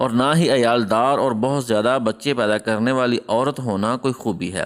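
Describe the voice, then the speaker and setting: Using a plain, everyday voice, a man talks with fairly even intonation and very even loudness. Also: medium pitch for a man. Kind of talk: storytelling narration of a moral tale about marriage advice, in Urdu.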